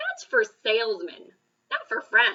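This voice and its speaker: A woman puts on a character voice at a high pitch, moving at a fairly slow pace. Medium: read story. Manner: emotional, gruff.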